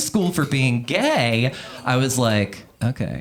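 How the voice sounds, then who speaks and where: A man is talking with audible room echo. Noticeable background noise sits behind him. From Louisiana. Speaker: stand-up comedian. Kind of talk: stand-up. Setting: comedy club stage with audience.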